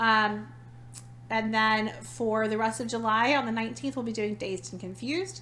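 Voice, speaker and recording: Audible room echo surrounds a woman speaking with an animated tone at a moderate pace. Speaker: podcast co-host. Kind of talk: casual chat.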